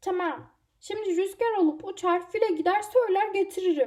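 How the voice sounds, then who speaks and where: Pitched extremely high, a woman puts on a character voice. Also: moderate pace. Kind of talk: children's story voicing. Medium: read story. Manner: excited.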